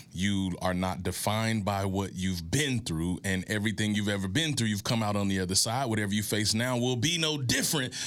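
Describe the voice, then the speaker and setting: In a room with audible echo, a man speaks at a fairly quick pace with hardly any pauses, keeping his loudness very even and his fairly low pitch varying in an ordinary way. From US South, Mississippi. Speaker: motivational speaker and author. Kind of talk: interview, motivational storytelling. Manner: oratorical, inspirational.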